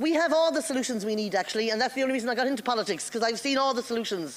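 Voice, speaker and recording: A woman with an Irish accent speaks in a high pitch with ordinary pitch variation. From Ireland. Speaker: politician. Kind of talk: formal speech. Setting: parliamentary assembly floor.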